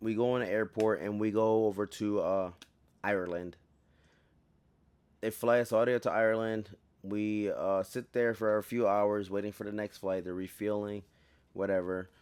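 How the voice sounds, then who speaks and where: A man speaks in a fairly low pitch with monotone, flat intonation. He leaves long, frequent pauses against a quiet background. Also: moderate pace. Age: 20s. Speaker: soldier and podcast host. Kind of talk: casual storytelling podcast. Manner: halting, self-interrupting.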